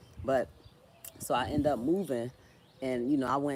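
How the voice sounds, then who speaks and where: With a slight Philadelphia accent, a woman speaks at a very deep, low pitch. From Philadelphia, US. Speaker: social media creator, writer. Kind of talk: livestream casual chat. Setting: live stream, tree in background. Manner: halting, repetitive.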